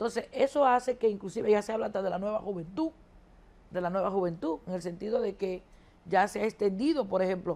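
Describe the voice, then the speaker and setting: Her medium pitch shows ordinary variation. This woman talks at a very fast pace. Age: 60s. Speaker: economist. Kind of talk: TV interview.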